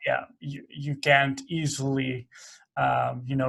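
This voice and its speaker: Speaking very slowly with a Dutch accent, a man uses a fairly high pitch. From Netherlands. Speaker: podcast host. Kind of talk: interview. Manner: halting, many fillers.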